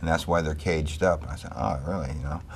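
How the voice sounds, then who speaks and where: A man's very deep, low voice with an American accent, over noticeable background noise. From New York City, Bronx. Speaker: Vietnam war veteran. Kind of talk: interview testimony.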